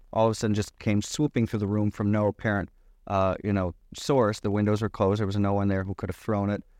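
With an American accent and an unremarkable speaking voice, a man talks at a fairly quick pace and fairly low pitch, the sound dry and close with no echo over a quiet background. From US Midwest (Michigan). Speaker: author. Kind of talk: interview.

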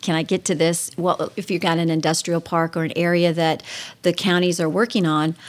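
A woman's normal speaking voice with an American accent, fairly low in pitch, at a moderate pace. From Ohio, US Midwest. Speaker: state politician. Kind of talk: radio interview.

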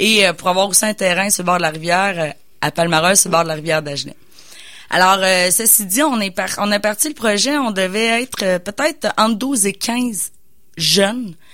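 A woman's medium-pitched voice has a bright, sharp tone and lively intonation. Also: moderate pace, very clean recording, silent background. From Quebec, Bois-Francs region. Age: 30s. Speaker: business coach and entrepreneur. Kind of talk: radio interview. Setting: radio studio.

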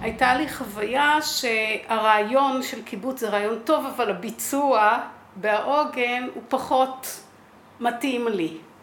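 A woman speaks at a very slow pace in a high voice, with ordinary pitch variation. Noticeable background noise and audible room echo are present. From Israel, kibbutz. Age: 60s. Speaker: kibbutz founder. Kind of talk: interview.

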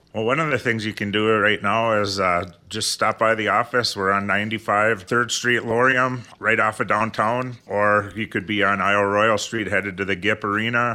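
Delivered with an American accent in a plain, everyday voice, the speech moves at a moderate pace with fairly even intonation and hardly any pauses. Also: man, fairly low pitch for a man. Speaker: financial advisor. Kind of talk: radio talk show.

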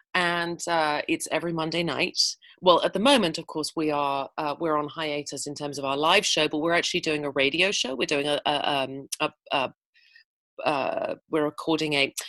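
With an English accent, a woman speaks at a moderate pace with a fairly low pitch. The sound is dry and close with no echo, over a quiet background. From England. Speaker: actor and playwright. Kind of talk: interview. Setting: video call.

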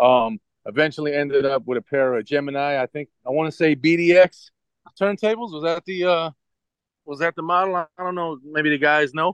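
Dry and close with no echo, the clip has a man speaking at a fairly high pitch and a moderate pace. He has an unremarkable speaking voice. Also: ordinary pitch variation. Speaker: DJ. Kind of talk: casual radio interview.

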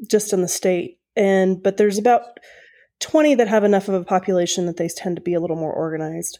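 Talking very fast with an American accent, a woman has a dark, mellow tone, medium pitch and ordinary pitch variation. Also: very clean recording, silent background. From Oklahoma. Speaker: Native community activist. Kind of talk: interview conversation.

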